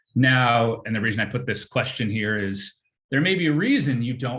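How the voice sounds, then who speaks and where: This man has a plain, everyday voice at medium pitch, with ordinary pitch variation and a moderate pace. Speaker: workshop presenter teaching text mining. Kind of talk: tutorial.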